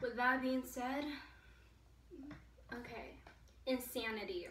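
Moderate pace with audible room echo. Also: woman. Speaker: vlogger. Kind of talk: casual talk to camera. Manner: hesitant, stuttering. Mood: earnest, emotional. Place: home room. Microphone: camera far.

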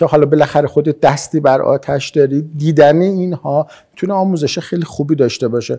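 A man's fairly high, dark, mellow voice with fairly even intonation, over a quiet background. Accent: Isfahani. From Isfahan, Iran. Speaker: maxillofacial surgeon. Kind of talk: interview answer. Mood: calm, friendly. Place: home room.

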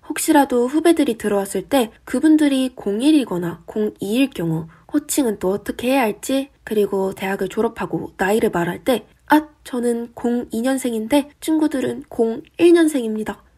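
A woman with a high pitch and a dark, mellow tone speaks at a fairly slow pace. Her intonation is lively, and she takes hardly any pauses. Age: young. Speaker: YouTuber and university student. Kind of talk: scripted vlog monologue.

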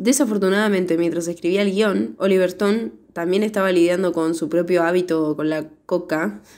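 A woman speaks in a Rioplatense accent at a fairly low pitch. Her intonation is lively and her pace moderate. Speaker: podcast co-host, film reviewer. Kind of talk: casual chat.

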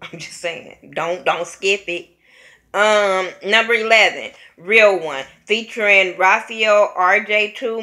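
A woman's bright, sharp voice with an American accent and ordinary pitch variation, over a quiet background. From California. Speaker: YouTube vlogger, music reviewer. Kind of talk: casual album review vlog. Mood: relaxed, amused. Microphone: webcam.

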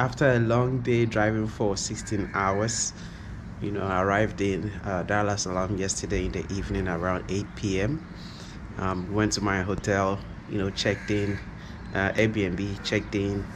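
Noticeable background noise runs through the clip. A man talks at a fairly low pitch. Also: ordinary pitch variation, moderate pace. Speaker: travel vlogger. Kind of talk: casual vlog chat. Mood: cheerful, upbeat. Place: home room. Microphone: phone near.

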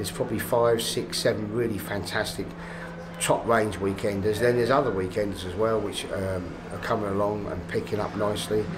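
A man speaks at a fairly quick pace in a fairly low voice with ordinary pitch variation, over noticeable background noise. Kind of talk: interview answer. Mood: relaxed, enthusiastic. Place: cafe.

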